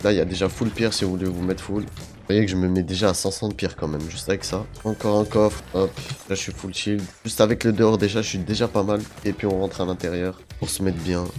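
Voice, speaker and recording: Music plays in the background as a man speaks. His voice is very deep and low, and his pace is very fast. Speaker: gaming youtuber. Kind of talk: gameplay tutorial. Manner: animated.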